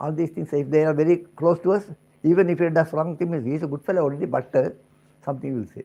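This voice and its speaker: With an Indian accent, a man speaks at a very fast pace with a fairly high pitch, a dark, mellow tone and fairly even intonation. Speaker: spiritual teacher. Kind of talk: spiritual discourse.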